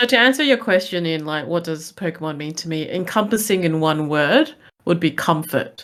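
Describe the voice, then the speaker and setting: Speaking with an Australian accent, a woman uses lively intonation and a fairly low pitch at a moderate pace. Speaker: Twitch streamer. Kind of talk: podcast discussion.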